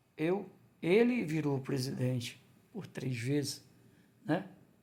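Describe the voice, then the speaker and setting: A man's fairly high, somewhat breathy voice, dark and mellow in tone, with very wide pitch swings. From Ceará, Brazil (Crateús). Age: 60s. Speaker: vlogger, former construction worker and waiter. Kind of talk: personal testimony vlog. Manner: halting, with false starts.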